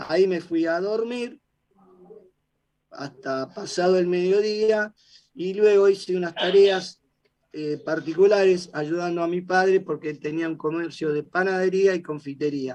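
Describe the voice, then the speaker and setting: Here a man speaks in a high voice with ordinary pitch variation. His pace is fairly slow. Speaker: defendant in a trial. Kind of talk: court testimony. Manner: halting.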